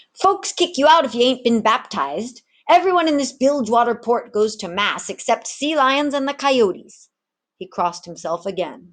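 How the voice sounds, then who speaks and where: A put-on character voice cackles at a moderate pace with very wide pitch swings. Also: woman, high pitch for a woman. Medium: read story.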